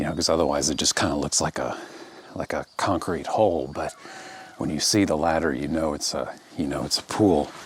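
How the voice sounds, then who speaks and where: A man's very deep, low voice moves at a fairly quick pace with ordinary pitch variation, noticeable background noise behind it. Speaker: landscape photographer. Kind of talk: casual vlog narration on location. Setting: outdoors. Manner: hesitant, many fillers.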